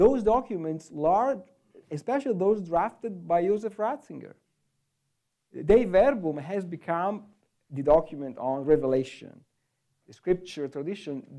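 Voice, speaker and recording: A man's high-pitched voice, dark and mellow in tone, at a fairly slow pace with long, frequent pauses against a quiet background. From Italy. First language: Italian. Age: 40s. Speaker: theology professor. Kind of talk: panel discussion. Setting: stage with audience. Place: hall. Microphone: handheld.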